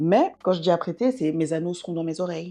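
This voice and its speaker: A woman is speaking. Her pace is fairly quick. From Belgium, bilingual French-German area. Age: 20s. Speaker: beauty vlogger. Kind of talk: casual vlog monologue. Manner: fast; hesitant, many fillers.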